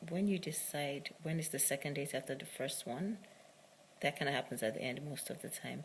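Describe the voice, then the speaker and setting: Her voice is very deep and low for a woman, somewhat breathy, with ordinary pitch variation and a moderate pace. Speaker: matchmaker and video diarist. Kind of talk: casual video diary monologue.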